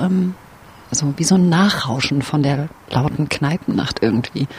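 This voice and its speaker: A woman talks at a fairly slow pace with ordinary pitch variation. Noticeable background noise sits behind her. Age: 30s. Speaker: podcast host, science journalist. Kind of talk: casual narrated podcast. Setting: outdoors in a courtyard. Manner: animated.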